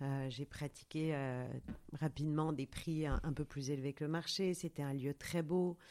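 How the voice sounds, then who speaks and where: On a very clean recording with a silent background, a woman speaks very deep and low in a dark, mellow tone, at a fairly slow pace with fairly even intonation. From Paris, France. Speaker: yoga studio founder and author. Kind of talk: interview. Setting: outdoors in a vineyard. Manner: halting, many hesitations.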